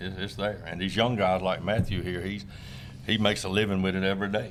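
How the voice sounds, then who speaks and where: A man's fairly low voice in a South Carolina accent, fairly quick and fairly even in intonation, with audible room echo. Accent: US Southern, South Carolina. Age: 60s. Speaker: tournament crappie angler. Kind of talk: casual interview chat. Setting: fishing expo.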